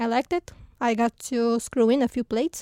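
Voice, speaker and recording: Speaking at a very slow pace, a woman with a dark, mellow tone and a fairly high pitch shows ordinary pitch variation, heard in a dry, close recording with no echo and a very clean, silent background. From Romania. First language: Romanian (speaking Danish). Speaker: rocket engineer. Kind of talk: interview. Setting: studio.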